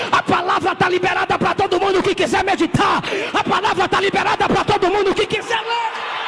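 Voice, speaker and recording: A man's raised, projected voice at an extremely high pitch, very fast, with monotone, flat intonation, very even loudness and crowd noise in the background. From Brazil. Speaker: preacher. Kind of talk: fiery sermon to a live church congregation, rhetorical repetition, mocking sarcasm. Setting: church with congregation. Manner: sarcastic, scolding, humorous. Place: church. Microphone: podium.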